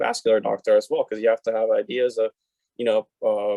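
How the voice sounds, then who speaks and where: Someone with a Spanish accent speaks at a fairly quick pace. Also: man. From Puerto Rico. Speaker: podiatric medical student. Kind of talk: panel discussion.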